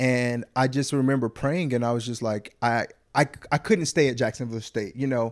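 Fairly even in intonation, a voice with a Southern US accent moves at a moderate pace in a very clean recording with a silent background. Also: man, medium pitch for a man. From US South, Huntsville, Alabama. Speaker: actor. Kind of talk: casual chat.

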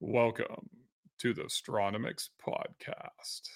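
A man uses a put-on character voice at a very slow pace. The sound is dry and close, with no echo. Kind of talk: radio voice. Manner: smooth, polished.

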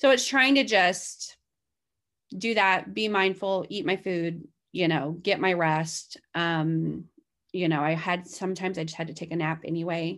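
An ordinary speaking voice from a woman, fairly low in pitch, at a fairly slow pace against a quiet background. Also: ordinary pitch variation. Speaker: guest sharing her weight-loss story, mother of five. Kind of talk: casual interview, personal story.

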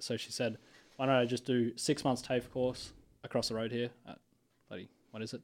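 A man with an Australian accent at a medium pitch, monotone and flat in intonation, fairly quick in pace, on a very clean recording with a silent background. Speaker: university student. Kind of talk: casual interview chat. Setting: studio.

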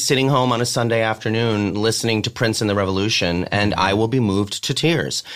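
Speech from a man comes fairly quickly. He talks in an American accent. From US Northeast, Connecticut. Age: 40s. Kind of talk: casual chat. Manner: animated.

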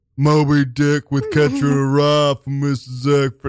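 Putting on a character voice, a man speaks at a moderate pace with a fairly high pitch and flat, monotone intonation. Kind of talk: stoner-like, laid-back.

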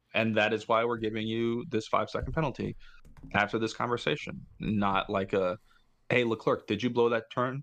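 A man speaks in an ordinary speaking voice at a medium pitch and moderate pace, with ordinary pitch variation. His loudness stays very even against a quiet background. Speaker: podcast co-host. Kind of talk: casual chat.

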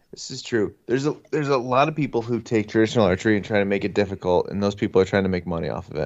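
A man with an American accent, fairly low in pitch, at a very fast pace with hardly any pauses. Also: ordinary pitch variation. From northeastern Pennsylvania. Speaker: hunting podcaster. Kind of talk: casual chat. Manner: halting.

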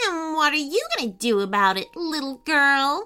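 A high-pitched put-on character voice from a woman, moderately paced. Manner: sneering, mocking.

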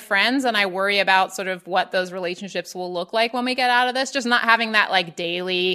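A woman's fairly quick voice with lively intonation over noticeable background noise. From Baltimore. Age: 30s. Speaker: writer and podcaster. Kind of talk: casual chat.

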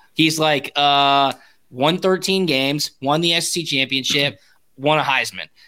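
Fairly high in pitch, a man's voice has a bright, sharp tone and fairly even intonation. He speaks at a fairly slow pace in a very clean recording with a silent background. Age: 30s. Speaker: former college football punter, podcaster. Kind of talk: casual chat.

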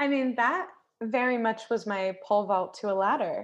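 A woman speaks in a normal speaking voice with an American accent, her pitch fairly high and its variation ordinary, over a quiet background. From United States. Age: 30s. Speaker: television commercial producer and author. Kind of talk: casual chat.

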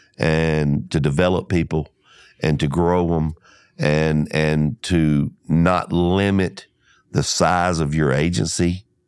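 A man with an Alabama accent speaks at a very slow pace in a very deep, low pitch, his intonation fairly even, on a very clean recording with a silent background. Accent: Southern US (Alabama). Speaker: insurance agency owner. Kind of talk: interview. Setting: studio.

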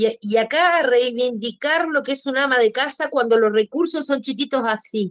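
A woman speaks at a high pitch and a moderate pace with hardly any pauses. The sound is dry and close, with no echo. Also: ordinary pitch variation. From Uruguay. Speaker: podcast guest. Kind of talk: casual interview conversation.

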